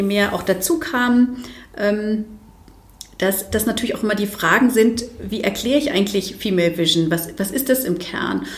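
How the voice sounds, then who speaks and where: A fairly high-pitched woman's voice at a moderate pace, with ordinary pitch variation, noticeable background noise and audible room echo. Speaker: diversity expert and speaker. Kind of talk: interview. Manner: hesitant, many fillers.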